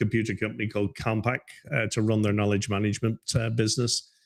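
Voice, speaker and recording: A man with a medium pitch talks in an Irish accent. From Ireland, Dublin. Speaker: business advisor. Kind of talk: interview.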